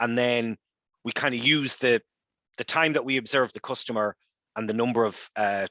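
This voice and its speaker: Dry and close with no echo, a man's bright, sharp voice at a medium pitch moves at a fairly quick pace with fairly even intonation and long, frequent pauses. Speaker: data science workshop presenter. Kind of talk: online workshop lecture. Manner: fast.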